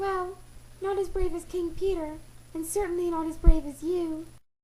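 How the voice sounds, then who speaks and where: In a squeaky, put-on character voice, a woman speaks at an extremely high pitch and moderate pace, her intonation monotone and flat while her loudness swings widely. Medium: comedy sketch. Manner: gushing, doting.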